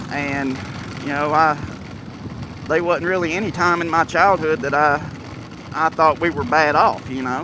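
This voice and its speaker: A man with an American accent speaks at a fairly high pitch and a moderate pace, with fairly even intonation. He takes long, frequent pauses, and there is noticeable background noise. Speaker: motorcycle vlogger. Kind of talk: casual vlog talk. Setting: outdoors in evening sun. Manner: hesitant, many fillers.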